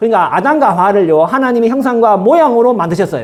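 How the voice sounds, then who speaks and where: A man speaks at an extremely high pitch in a strong Gyeongsang accent. Room echo is audible. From Gyeongsang region, Korea. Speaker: pastor. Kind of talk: sermon. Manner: fast.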